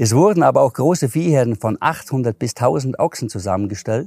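A man's medium-pitched voice with a dark, mellow tone and a Swabian accent, at a moderate pace, in a very clean recording with a silent background and a dry, close sound with no echo. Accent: Allgäu Swabian dialect. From Allgäu, Bavaria (Hindelang). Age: 50s. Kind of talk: casual interview.

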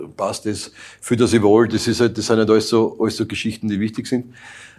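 A man talks fairly quickly with a monotone, flat delivery at a fairly low pitch. The recording is very clean, with a silent background. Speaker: youth national football coach. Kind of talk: interview.

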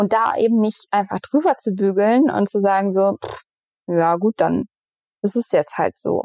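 On a very clean recording with a silent background, a woman's voice holds a medium pitch. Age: 30s. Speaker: mental health agency co-founder, communication strategist. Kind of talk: interview conversation. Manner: hesitant, many fillers.

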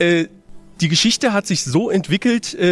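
Background noise is noticeable. A man talks over it. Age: 20s. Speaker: film discussion panelist. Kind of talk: casual film review discussion. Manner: halting, many filler sounds.

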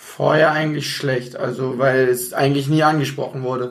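Somewhat breathy and fairly high-pitched, a man talks at a very fast pace amid audible room echo. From Bonn, Rhineland, Germany. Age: 20s. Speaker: amateur football team captain. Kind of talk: casual interview.

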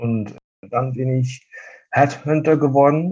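This man has a Dutch accent. His voice is somewhat breathy. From Netherlands, eastern border region. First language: Dutch (speaking German). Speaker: fabric wholesale sales representative. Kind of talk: casual interview.

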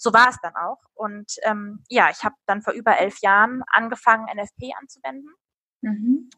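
A woman with an unremarkable speaking voice talks at a moderate pace and a fairly high pitch. Her pitch varies in an ordinary way, while her loudness swings widely. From Hesse, Darmstadt (Rhine-Main). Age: 30s. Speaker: natural family planning counselor. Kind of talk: interview.

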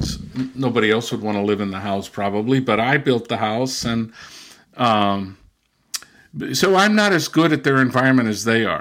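A man with a Californian accent at a medium pitch, moderate pace and long, frequent pauses. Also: ordinary pitch variation. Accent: Californian American. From US, Southern California (Mexican border). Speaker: linguist. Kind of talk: interview.

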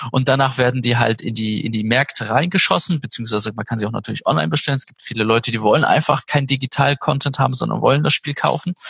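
Hardly any pauses break up the speech. It runs at a very fast pace. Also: man, medium pitch for a man, ordinary pitch variation. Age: 30s. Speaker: games company project manager. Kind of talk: interview.

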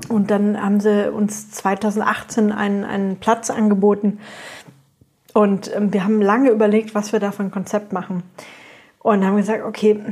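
Somewhat breathy and fairly high-pitched, a woman talks at a fairly slow pace. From Franconia, Germany. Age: 30s. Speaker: brewery co-founder and restaurateur. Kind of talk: interview conversation.

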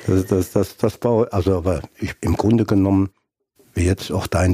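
A man with a very deep, low voice speaks at a fairly quick pace. His intonation stays fairly even, and the sound is dry and close with no echo. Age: 70s. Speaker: retired footballer and scout. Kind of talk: interview.

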